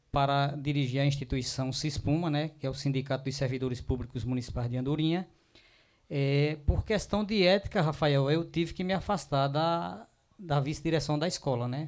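A man's pitch varies in an ordinary way as he talks over a quiet background. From Pernambuco sertão, Brazil (Araripina); Pernambuco, Brazil. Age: 50s. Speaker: teacher and union president; teacher. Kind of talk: interview. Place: studio. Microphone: handheld.

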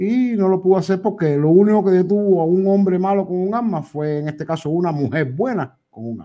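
A man talks fairly quickly in a high voice, with hardly any pauses. His pitch varies in an ordinary way while his loudness swings widely. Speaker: live stream call-in participant. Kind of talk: casual political discussion.

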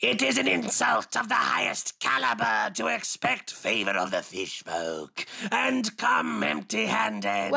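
This put-on character voice is raspy and low in pitch. It moves at a fairly slow pace. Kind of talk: comic overacting. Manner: pompous, declaiming, easily offended.

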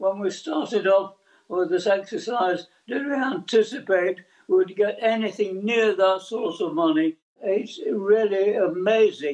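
A man with an English accent speaks at a high pitch with ordinary pitch variation. His pace is fairly slow. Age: 80s+. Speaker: army veteran. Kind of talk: news interview answer.

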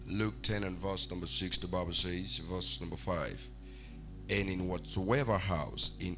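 A man's very deep, low voice at a very slow pace over clear music in the background. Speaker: preacher. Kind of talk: sermon. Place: church.

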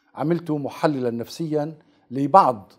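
A man talks at a very slow pace with lively intonation. The background is quiet. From Aleppo, Syria; Syria. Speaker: researcher and writer; interviewee. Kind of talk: TV interview. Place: studio. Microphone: lapel.

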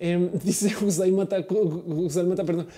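A woman in an animated tone. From Colombia. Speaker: tech streamer. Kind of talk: live stream chat.

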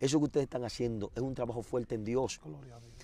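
Medium-pitched male voice, dark and mellow in tone. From Dominican Republic, Azua. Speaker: former gang leader turned street preacher. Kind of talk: testimony.

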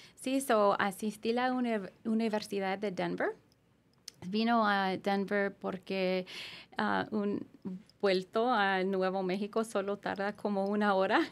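At a very slow pace, a woman with an American accent talks with fairly even intonation. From US Southwest, Gallup, New Mexico; New Mexico. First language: English (speaking Spanish). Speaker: immigration lawyer. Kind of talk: podcast interview. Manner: halting. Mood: calm, friendly. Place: studio. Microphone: studio mic.

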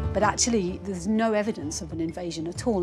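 With music in the background, a woman talks at a very fast pace and a fairly low pitch. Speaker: archaeologist. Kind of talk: interview answer.

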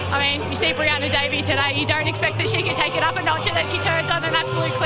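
Someone talks at a very fast pace over loud music in the background. The sound is dry with no echo. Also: woman. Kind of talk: interview answer. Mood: happy and proud after the win. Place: stadium. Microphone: handheld.

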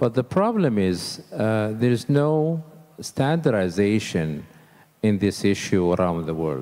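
Speaking with an Arabic accent, the voice has a dark, mellow tone. Its pitch swings very widely at a very slow pace. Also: man, fairly low pitch for a man. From Saudi Arabia. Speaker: architect and accessibility advocate; panelist. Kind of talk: panel discussion. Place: hall. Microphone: handheld.

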